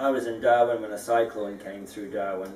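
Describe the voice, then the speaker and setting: A man speaks at medium pitch. There is noticeable background noise. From Scotland, moved to New Zealand at 14. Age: 50s. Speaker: interviewee, dome house builder. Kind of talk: interview. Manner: halting with many fillers.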